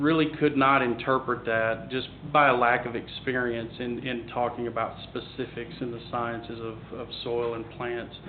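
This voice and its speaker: With a Southern US accent, a man speaks in monotone, flat intonation. There is audible room echo and noticeable background noise. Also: medium pitch for a man. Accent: Southern drawl. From US South, Tennessee. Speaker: agricultural advisor. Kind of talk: panel discussion. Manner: halting.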